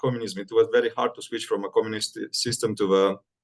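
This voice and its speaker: Spoken with a Romanian accent at a fairly quick pace. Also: man. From Moldova (Chisinau). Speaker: medical student. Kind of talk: interview. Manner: halting, many fillers.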